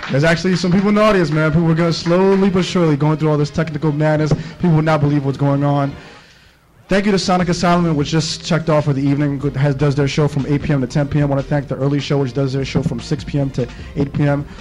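There is light background noise as a man talks at a very fast pace. His loudness is very even and his intonation fairly even. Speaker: radio show host. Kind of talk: radio host intro chat. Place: studio.

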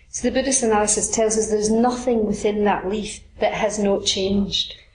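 A woman speaks with a Scottish accent at a fairly high pitch, in a monotone, flat intonation. Noticeable background noise runs behind her. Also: moderate pace. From Scotland. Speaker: Buddhist teacher. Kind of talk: dharma talk.

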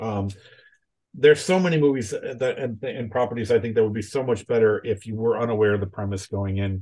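A somewhat breathy, dark, mellow voice with ordinary pitch variation, at a fairly quick pace over a quiet background. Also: man. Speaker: writer and tabletop game designer; guest. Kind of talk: casual interview chat. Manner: animated, repeats words often. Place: home room. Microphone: video call.

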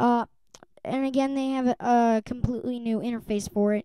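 Her voice sits high, and this woman keeps a fairly even intonation. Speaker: tech YouTuber. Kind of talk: product review vlog. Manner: halting, many fillers.

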